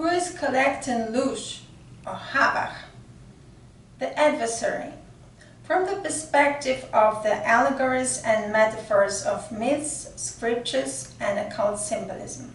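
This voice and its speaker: A woman with a non-native accent speaks fairly slowly amid noticeable background noise and audible room echo. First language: not English. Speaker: occult mythology researcher, channel host. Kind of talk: reading a prepared article aloud. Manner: halting, with fillers.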